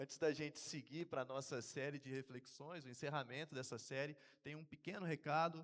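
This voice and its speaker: A man with a plain, everyday voice talks at a moderate pace, fairly high in pitch, with fairly even intonation. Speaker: seminarian preacher. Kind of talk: sermon. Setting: church.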